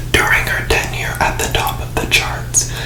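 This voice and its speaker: Noticeable background noise sits under a whisper that moves at a fairly slow pace. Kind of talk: ASMR book reading, whispered relaxing narration. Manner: whispered, soft, relaxing.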